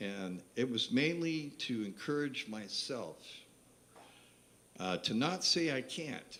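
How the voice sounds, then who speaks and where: A man's medium-pitched voice at a very slow pace, with very wide pitch swings and audible room echo. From West Virginia. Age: 70s. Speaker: singer-songwriter. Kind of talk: stage banter between songs. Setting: live venue stage with audience. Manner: halting.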